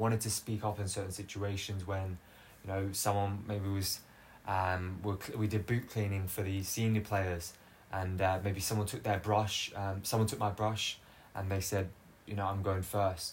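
A man speaks with fairly low pitch and a somewhat breathy voice. His pace is moderate and his intonation monotone and flat. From Australia. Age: 20s. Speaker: footballer and podcaster. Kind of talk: solo personal monologue. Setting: filmed solo recording. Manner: unscripted, hesitant with fillers.

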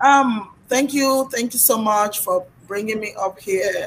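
The speech comes at a fairly slow pace in a somewhat breathy voice. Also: woman. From Nigeria. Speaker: youtuber and podcaster. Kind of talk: casual chat.

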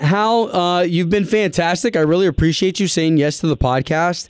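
With lively intonation and an animated tone, a man talks at a fairly quick pace. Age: 30s. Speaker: podcast host. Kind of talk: interview.

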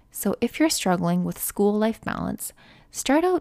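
A woman's dark, mellow voice with a Canadian accent, in a dry, close sound with no echo, on a very clean recording with a silent background. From Canada. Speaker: nursing student podcaster. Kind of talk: casual monologue. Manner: conversational.

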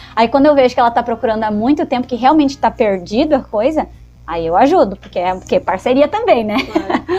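Over music in the background, a woman speaks at a high pitch and a fairly quick pace with lively intonation. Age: 20s. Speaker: podcast co-host. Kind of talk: casual chat.

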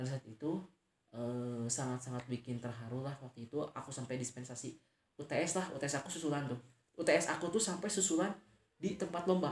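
This man has a plain, everyday voice at medium pitch with ordinary pitch variation. He talks at a fairly quick pace. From West Java, Indonesia (Tasikmalaya). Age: 20s. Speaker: university student. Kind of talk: interview.

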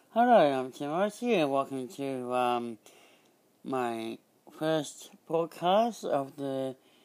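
A man with an Australian accent speaks at a very slow pace, his pitch swinging very widely. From Australia, Byron Bay area. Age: 30s. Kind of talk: podcast intro; community radio chat.

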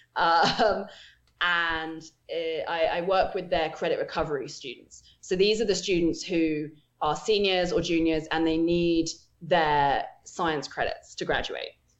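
This woman has an English accent and a fairly low voice. She talks at a fairly slow pace with fairly even intonation. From England. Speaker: telescope operator, astronomer. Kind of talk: casual interview. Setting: video call.

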